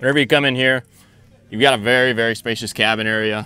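The tone is bright and sharp. The pace is fairly quick. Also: man, dry sound with no echo. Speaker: trade show vendor; vendor representative. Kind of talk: product demo sales pitch. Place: open country.

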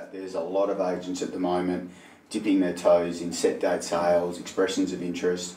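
Monotone, flat intonation at a fairly quick pace, with audible room echo. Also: man, very deep, low pitch for a man. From Perth, Western Australia. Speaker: auctioneer and interviewer. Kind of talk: interview host questions. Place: meeting room. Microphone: camera far.

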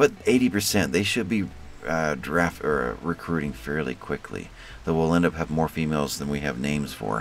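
A man talks at a moderate pace with a very deep, low pitch. Noticeable background noise runs beneath his voice. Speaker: gaming youtuber. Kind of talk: let's play commentary. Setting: home recording. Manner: frequent fillers and repetitions.

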